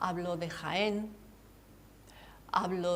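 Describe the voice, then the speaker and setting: In a room with audible echo, a woman with a fairly low pitch speaks in a monotone, flat way. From Andalusia, Cádiz (Campo de Gibraltar). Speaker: author. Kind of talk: TV interview.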